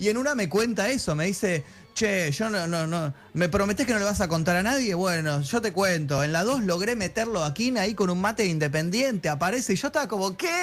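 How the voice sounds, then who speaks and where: A high-pitched man with an Argentine accent, lively intonation, a fairly quick pace, and very even loudness. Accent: Argentine Spanish (Rioplatense). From Argentina. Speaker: film journalist. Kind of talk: casual chat.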